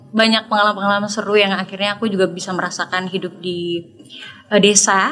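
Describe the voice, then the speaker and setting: Noticeable background noise runs under the clip. The speaker is a woman. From Indonesia, Yogyakarta (also Papua, South Sumatra). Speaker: singer. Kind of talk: interview. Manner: casual, with many fillers.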